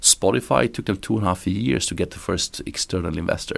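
With vocal fry and a very deep, low pitch, a man talks at a fairly quick pace. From Romania, moved to Sweden at 12. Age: 30s. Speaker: entrepreneur. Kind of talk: interview. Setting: echoey small room in office. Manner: energetic.

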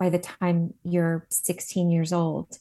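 Against a quiet background, a woman with an American accent talks at a fairly slow pace in a normal speaking voice. Her pitch sits at a medium level. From New Jersey. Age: 50s. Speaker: esthetician and skincare founder. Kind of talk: interview. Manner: casual, many fillers.

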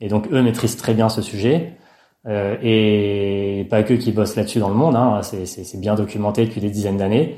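Over a very clean recording with a silent background, a man speaks at a moderate pace in a dark, mellow, fairly low voice with fairly even intonation. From rural France. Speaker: sports scientist. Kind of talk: interview.

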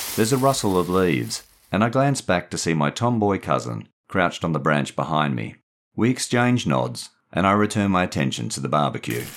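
With an Australian accent, a man speaks at a fairly quick pace in a very deep, low pitch, his warm tone moving through very wide pitch swings. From Perth, Western Australia. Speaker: author and narrator. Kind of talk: literary audiobook reading of a short story. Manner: measured, warm storyteller pacing.

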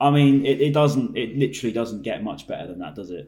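Vocal fry in a man's fairly high voice, dark and mellow in tone with ordinary pitch variation. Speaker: podcast host. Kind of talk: casual chat.

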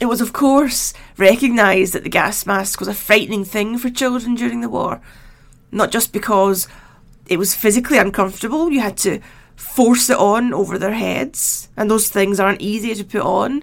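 A woman with vocal fry talks at a moderate pace, her fairly high pitch showing ordinary variation. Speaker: history podcaster and author. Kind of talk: solo narration.

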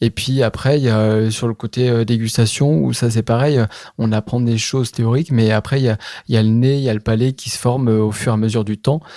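Dark and mellow in tone, a man speaks at medium pitch and a fairly quick pace with fairly even intonation. The sound is dry and close with no echo, in a very clean recording with a silent background. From Charente, France. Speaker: cellar master. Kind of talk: interview testimony. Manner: hesitant, with frequent fillers.

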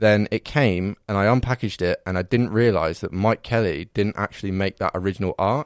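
In a southern English accent, a man with a fairly low pitch is heard on a very clean recording with a silent background and a dry, close sound with no echo. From Reading, England. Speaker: podcast guest. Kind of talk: casual chat.

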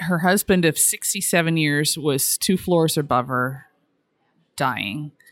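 Her pitch very deep and low, a woman talks at a fairly slow pace. The recording is very clean, with a silent background. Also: ordinary pitch variation. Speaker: traveler and family caregiver. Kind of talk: interview. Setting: hotel lobby.

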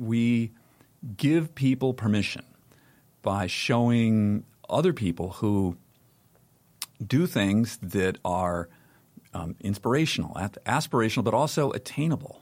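A man with a medium pitch speaks at a fairly slow pace, using lively intonation and long, frequent pauses. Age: 60s. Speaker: media founder and publisher. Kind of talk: interview conversation. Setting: studio.

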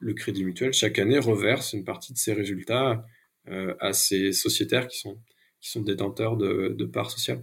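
A man talks at a moderate pace with a fairly low pitch. His pitch varies in an ordinary way, and there is vocal fry. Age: 30s. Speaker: ecological transition consultant and rail cooperative board member. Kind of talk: interview. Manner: hesitant, many fillers.

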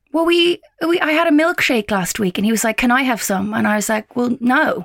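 A woman speaks at a high pitch with an English accent. The sound is dry and close, with no echo. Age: 30s. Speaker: podcast co-host. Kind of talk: casual chat. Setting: video call.

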